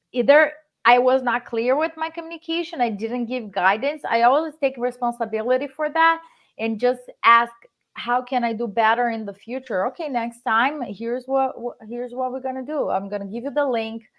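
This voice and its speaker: A woman speaks at a moderate pace with a Brazilian accent. Her pitch is high. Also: ordinary pitch variation. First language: Portuguese. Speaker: real estate investor. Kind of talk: live stream interview.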